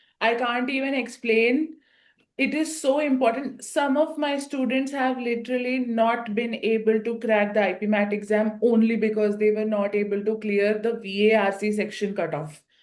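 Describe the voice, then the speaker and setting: Her Indian accent comes through at a moderate pace. The woman's voice is fairly high, with ordinary pitch variation. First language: an Indian language (English is second). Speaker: IPMAT coaching teacher interviewing students. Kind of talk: interview. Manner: animated.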